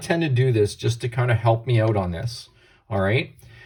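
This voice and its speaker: This man talks at a fairly quick pace with a medium pitch and a somewhat breathy quality. The recording is very clean, with a silent background. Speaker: chemistry teacher. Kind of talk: lecture.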